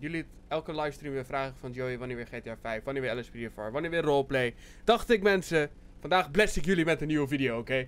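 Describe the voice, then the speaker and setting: Speech comes from a man at a very fast pace. Ordinary pitch variation runs through it. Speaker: gaming youtuber. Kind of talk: casual vlog chat.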